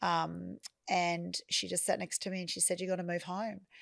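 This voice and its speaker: A woman's voice, fairly low in pitch, on a very clean recording with a silent background. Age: 50s. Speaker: property business founder. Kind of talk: interview conversation. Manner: halting.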